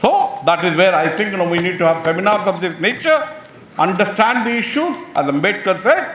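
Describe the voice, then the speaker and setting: A man speaks at a fairly quick pace in a high voice, with audible room echo and noticeable background noise. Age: 70s. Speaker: professor. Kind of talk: seminar speech. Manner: emphatic, repetitive.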